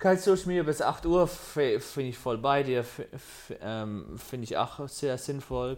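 A man talks at a fairly slow pace with a fairly high pitch. It is a normal speaking voice with ordinary pitch variation. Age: 20s. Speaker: podcast co-host. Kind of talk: casual chat.

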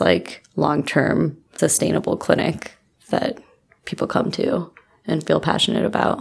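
A woman with an American accent and vocal fry at a moderate pace. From Illinois, US Midwest. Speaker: medical student. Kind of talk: casual interview.

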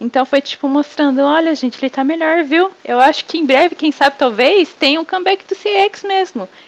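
A woman's high-pitched voice at a fairly quick pace with hardly any pauses and ordinary pitch variation, dry and close with no echo, over noticeable background noise. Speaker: podcast host. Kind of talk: casual chat. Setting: remote recording.

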